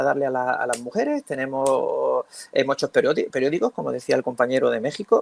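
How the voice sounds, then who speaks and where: Speaking at a fairly quick pace with hardly any pauses, a man comes through with a dry, close sound with no echo. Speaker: school teacher. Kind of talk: round-table talk. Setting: conference panel. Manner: fast; halting.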